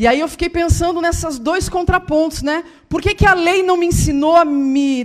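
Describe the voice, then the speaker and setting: This woman's voice is extremely high in pitch. Her pace is moderate. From Rio Grande do Sul, southern Brazil. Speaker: guest speaker and author. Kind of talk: testimony. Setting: church.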